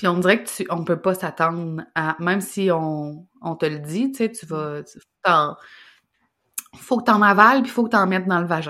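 With a Quebec accent, a woman speaks at a fairly low pitch and a fairly slow pace, showing ordinary pitch variation and big swings in loudness in a very clean recording with a silent background. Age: 30s. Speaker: business coach. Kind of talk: casual chat.

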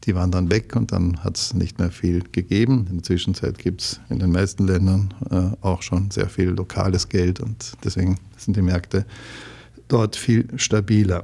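Speaking at a moderate pace with fairly even intonation, the man has a very deep, low pitch and a somewhat breathy quality. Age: 60s. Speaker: real estate executive. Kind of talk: interview.

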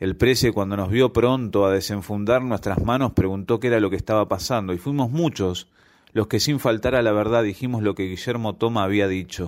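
This man has an ordinary speaking voice, fairly low in pitch, with ordinary pitch variation and a fairly quick pace. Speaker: amateur writer, listener contributor. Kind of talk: reading aloud his own short story.

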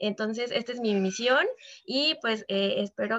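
A woman is speaking in a fairly high pitch. She has an ordinary speaking voice. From Mexico, Veracruz. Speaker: financial advisor. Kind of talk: podcast interview.

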